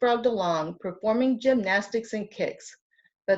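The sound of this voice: Quiet background behind an unforced reading voice.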